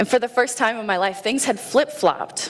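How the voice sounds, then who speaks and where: A woman with an American accent at a moderate pace, ordinary pitch variation, and noticeable background noise. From Indiana, US Midwest. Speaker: Navy veteran and schoolteacher. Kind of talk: personal story talk. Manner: loud; animated.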